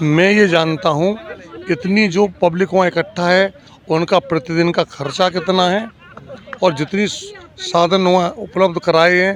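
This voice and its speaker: A man's high-pitched voice with fairly even intonation over noticeable background noise. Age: 60s. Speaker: member of public, former newspaper writer. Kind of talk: street interview.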